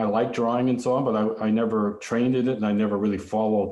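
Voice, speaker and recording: In a Canadian accent, a man speaks at medium pitch with a dark, mellow tone. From Canada, Vancouver area (British Columbia). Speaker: visual artist. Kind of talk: lecture. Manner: halting, many fillers and restarts.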